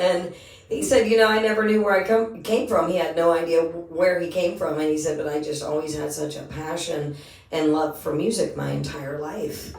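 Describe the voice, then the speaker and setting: Amid noticeable background noise and audible room echo, a woman speaks at a moderate pace with a fairly low pitch and ordinary pitch variation. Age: 50s. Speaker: singer and podcast host. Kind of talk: casual chat.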